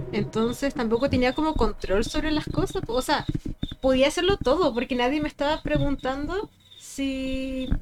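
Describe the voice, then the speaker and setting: Her pitch is high and varies in an ordinary way. The woman keeps to a moderate pace. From Chile, Vicuña. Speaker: podcast co-host. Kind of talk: casual chat. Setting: in person, late at night.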